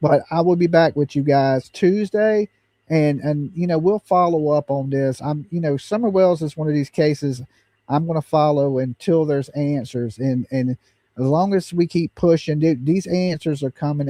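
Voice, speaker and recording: At a moderate pace, a man with a Southern US accent talks in a dark, mellow tone, his pitch fairly high with ordinary variation, in a dry, close recording with no echo. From US South. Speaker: true crime livestream host. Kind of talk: casual livestream talk.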